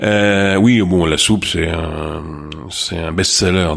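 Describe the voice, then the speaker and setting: A man talks with a Marseille accent. His intonation stays fairly even. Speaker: restaurant franchise co-founder. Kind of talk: interview.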